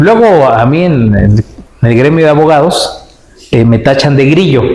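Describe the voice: There is audible room echo around a man with a fairly high pitch for a man. His tone is slightly mellow and his intonation lively. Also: moderate pace.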